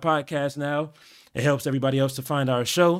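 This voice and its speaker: A man speaks at a moderate pace in a plain, everyday voice, recorded very cleanly against a silent background. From Los Angeles, California. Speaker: DJ and podcast host. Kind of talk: casual chat.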